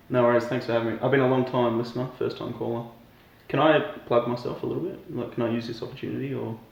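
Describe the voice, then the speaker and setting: Speaking at a very fast pace in an Australian accent, the voice is monotone and flat, with audible room echo and noticeable background noise. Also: man, medium pitch for a man. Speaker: professional triathlete. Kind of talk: comedic interview.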